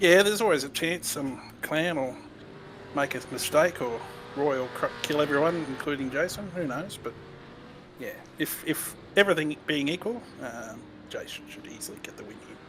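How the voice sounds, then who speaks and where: A man speaks at a moderate pace in a fairly high pitch, with lively intonation and big swings in loudness. Long, frequent pauses break up his speech over noticeable background noise. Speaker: sim racing commentator. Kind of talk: live commentary.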